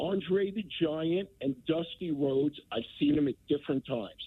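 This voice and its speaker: A man talks at a fairly slow pace with lively intonation. His is an unremarkable speaking voice. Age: 60s. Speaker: caller. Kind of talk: call-in to radio show. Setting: phone call.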